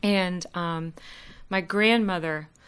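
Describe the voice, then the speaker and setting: With an American accent, a woman speaks in an unremarkable speaking voice at medium pitch, her intonation fairly even. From US Midwest, Columbus, Ohio. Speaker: opera singer. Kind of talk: interview.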